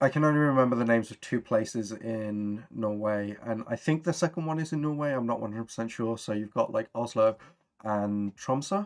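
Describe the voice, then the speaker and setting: A man with a Birmingham accent at medium pitch, ordinary pitch variation and a fairly quick pace. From Birmingham, England. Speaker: tabletop RPG streamer. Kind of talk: casual chat. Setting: live stream.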